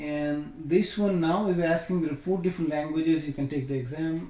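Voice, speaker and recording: Somewhat breathy and dark, mellow in tone, the voice carries a non-native accent at a moderate pace. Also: man. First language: not English. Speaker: IT certification trainer. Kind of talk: screen-share tutorial. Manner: casual, hesitant with fillers.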